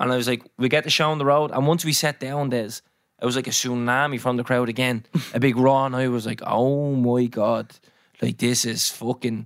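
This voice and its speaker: A man speaks at a moderate pace in an Irish accent. His medium-pitched voice stays monotone, with flat intonation. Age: 20s. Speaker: podcast host. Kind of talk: casual chat.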